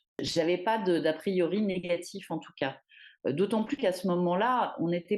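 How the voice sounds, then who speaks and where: In a quiet background, a woman speaks at a moderate pace and a fairly low pitch. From Paris, France. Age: 50s. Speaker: feminist activist. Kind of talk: testimony. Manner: hesitant, many fillers.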